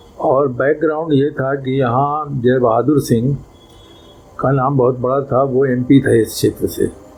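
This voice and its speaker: A man's medium-pitched, flat, monotone voice over noticeable background noise. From Mau, eastern Uttar Pradesh, India. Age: 70s. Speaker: communist party veteran. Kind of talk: interview.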